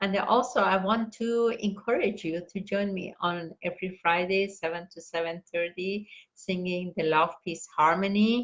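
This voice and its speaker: This woman speaks at a moderate pace with a non-native accent, fairly even intonation and hardly any pauses. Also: medium pitch for a woman. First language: not English. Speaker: meditation teacher reading books aloud. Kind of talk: casual sign-off announcements. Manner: halting, many fillers; warm, heartfelt.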